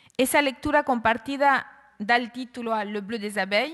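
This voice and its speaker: Here is a woman with a normal speaking voice. She talks at a moderate speed, and her pitch varies in an ordinary way. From Argentina. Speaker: writer and literature professor. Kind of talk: conference talk.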